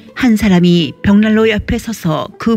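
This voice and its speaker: A woman's voice sits at a medium pitch while music plays behind her. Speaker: audio drama storyteller.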